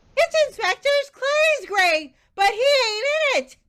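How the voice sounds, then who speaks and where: An extremely high, squeaky put-on character voice. It goes at a fairly slow pace. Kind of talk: comic overacting. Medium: stage play.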